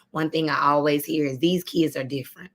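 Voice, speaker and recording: A woman's very deep, low voice with a Southern US accent, monotone and flat in intonation, at a moderate pace. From Arkansas. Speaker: education consultant and coach. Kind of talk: live stream presentation. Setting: live video broadcast.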